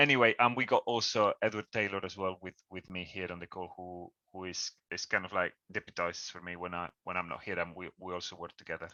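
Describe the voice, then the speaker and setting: Very rapid delivery with fairly even intonation and big swings in loudness. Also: man, very deep, low pitch for a man. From Spain. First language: Spanish. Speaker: cycling campaign leader. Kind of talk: presentation on a video call. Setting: video call. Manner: halting, many repetitions.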